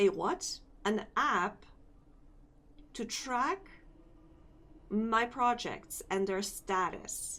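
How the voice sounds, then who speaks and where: Long, frequent pauses break up a woman's very slow speech. Her fairly high voice has a bright, sharp tone and lively intonation. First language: not English. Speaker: vtuber and Live2D rigger streamer. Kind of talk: casual live stream chat. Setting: live stream. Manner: hesitant, searching for words.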